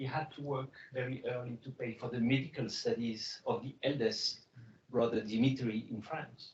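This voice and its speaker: This man speaks in a French accent, his voice somewhat breathy. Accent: noticeable French. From Morocco (Casablanca). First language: French and Greek. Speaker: biotech CEO. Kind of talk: fireside chat.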